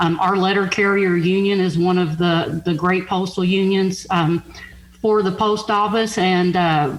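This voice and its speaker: Over noticeable background noise, a woman with a Southern accent speaks at a medium pitch with monotone, flat intonation. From Kentucky, Louisville. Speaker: union official and letter carrier. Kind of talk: radio interview.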